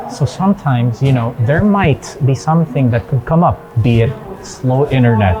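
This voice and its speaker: A man with lively intonation keeps a moderate pace as music plays behind him. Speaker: event host. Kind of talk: vlog commentary. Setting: studio.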